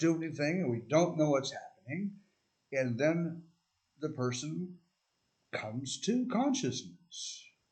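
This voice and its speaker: A man speaks at a fairly slow pace, his fairly high voice somewhat breathy. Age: 60s. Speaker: video essayist. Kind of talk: casual monologue. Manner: halting, with many fillers.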